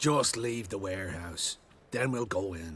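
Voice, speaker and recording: Using a put-on character voice, a man speaks at a moderate pace in a raspy, fairly low pitch with lively intonation. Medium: video game. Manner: casual, working-class.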